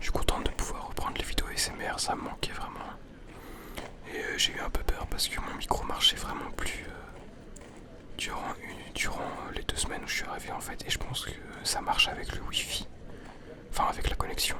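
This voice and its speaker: A man whispers at a fairly quick pace, with long, frequent pauses. Noticeable background noise can be heard. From Switzerland. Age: young. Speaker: ASMR artist. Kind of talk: casual vlog talk while walking. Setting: outdoors, public park. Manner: soft-spoken, calm.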